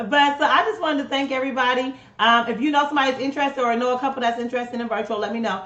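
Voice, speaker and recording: A high-pitched woman with an American accent at a very fast pace and ordinary pitch variation, with audible room echo and noticeable background noise. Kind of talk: live stream announcements.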